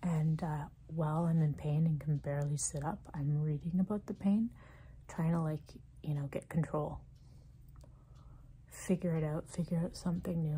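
A woman speaks at a moderate pace in a very deep, low pitch. Her voice is somewhat breathy. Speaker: ASMR creator. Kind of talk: ASMR talk to camera about frustration and illness. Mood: frustrated, weary, empathetic. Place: home room. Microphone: phone near.

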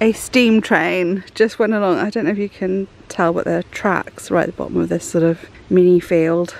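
Her fairly low-pitched voice has vocal fry and a slightly mellow tone, as the woman talks at a moderate pace with fairly even intonation.

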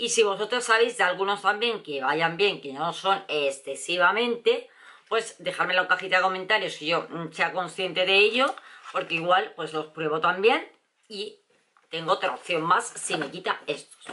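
A woman speaks at a medium pitch with ordinary pitch variation. Her tone is animated and her pace moderate. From Spain, Valencia. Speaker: beauty vlogger. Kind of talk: product review vlog. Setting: at home. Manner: chatty, animated. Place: home room. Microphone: camera far.

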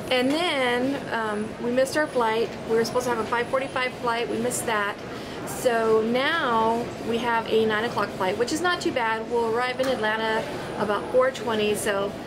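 A woman talks at a middling speed with ordinary pitch movement while background noise is clearly audible. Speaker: travel vlogger. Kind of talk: casual vlog chat. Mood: relieved, excited. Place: station. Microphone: phone near.

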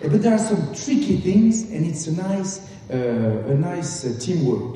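Over light background noise and strong room echo, a man talks at a moderate pace with very wide pitch swings. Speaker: speaker, business storyteller. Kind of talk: comic stage talk acting out a business story. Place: stage.

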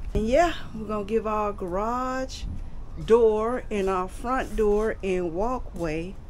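Over light background noise, a woman talks at a very slow pace with lively intonation. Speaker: homeowner vlogger. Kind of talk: casual vlog chat. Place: street. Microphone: phone near.

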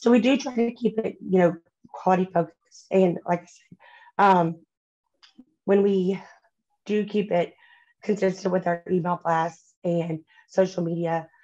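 Against a quiet background, a woman speaks fairly slowly in a dark, mellow tone, with fairly even intonation, big swings in loudness and long, frequent pauses. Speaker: home decor company representative. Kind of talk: panel discussion. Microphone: video call.

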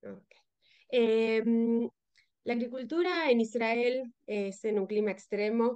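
Dark, mellow tone with fairly even intonation. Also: woman. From Uruguay. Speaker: soil and water researcher. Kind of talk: lecture. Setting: remote video presentation. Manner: halting.

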